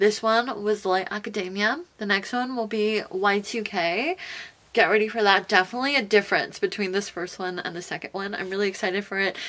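A woman with an American accent at a moderate pace, her intonation fairly even. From US West Coast, Los Angeles. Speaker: fashion YouTuber. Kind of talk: casual vlog talk to camera; casual vlog chat. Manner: casual, many filler words. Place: home room.

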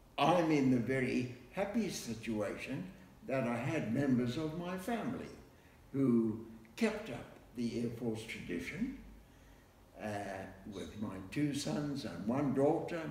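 In a room with audible echo, a man speaks at a fairly slow pace with long, frequent pauses. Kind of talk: interview answer. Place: home room. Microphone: camera far.

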